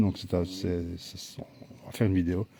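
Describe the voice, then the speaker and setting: Somewhat breathy, a man speaks with a very deep, low pitch and a dark, mellow tone. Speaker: paranormal investigator. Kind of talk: casual live stream chat. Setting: outdoors.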